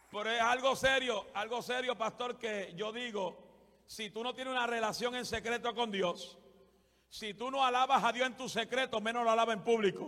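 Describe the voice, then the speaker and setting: Using a raised, projected voice, a man speaks at a moderate pace with an extremely high pitch and a bright, sharp tone. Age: 40s. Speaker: guest preacher. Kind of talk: sermon. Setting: church with congregation. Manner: animated; loud.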